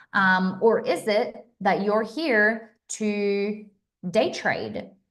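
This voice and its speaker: A woman with a medium-pitched voice is heard with audible room echo. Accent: American. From Australia. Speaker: astrology and crypto streamer. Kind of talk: live stream chat. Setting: live stream. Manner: animated.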